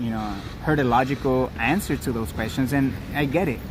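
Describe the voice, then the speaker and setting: With noticeable background noise, a man speaks at medium pitch with ordinary pitch variation. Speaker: livestreamer. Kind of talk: live stream commentary. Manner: loud; animated.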